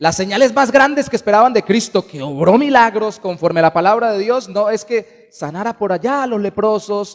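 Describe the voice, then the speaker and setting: A man speaks with a high pitch and ordinary pitch variation. He hardly pauses at all. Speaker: pastor. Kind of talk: sermon. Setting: church. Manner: fast.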